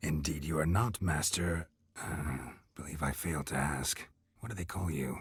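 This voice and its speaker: At a moderate pace, this voice is a put-on character voice. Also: man, very deep, low pitch for a man. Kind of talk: old-fashioned gentlemanly speech. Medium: video game. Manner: pompous, theatrical, sardonic.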